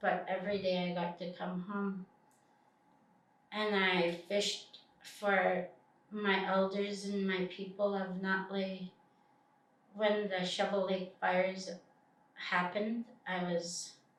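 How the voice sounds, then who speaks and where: The speech is very slow and monotone, with long, frequent pauses and noticeable background noise. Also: woman, medium pitch for a woman. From British Columbia, Canada. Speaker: First Nations community member. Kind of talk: interview answer.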